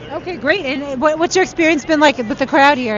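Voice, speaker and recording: A woman with an American accent, high pitch and an energetic tone, with crowd noise in the background. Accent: New York accent, comes out in New York. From New York City. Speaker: political rally field reporter. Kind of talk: live street interviews. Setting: outdoors in rally line, live stream. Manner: energetic, conversational.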